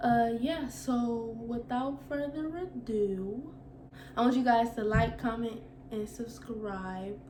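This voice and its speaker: Amid noticeable background noise and audible room echo, a woman speaks at a very slow pace with a fairly high pitch and ordinary pitch variation. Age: 20s. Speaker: vlogger. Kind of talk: casual Q&A vlog. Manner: halting, stuttering.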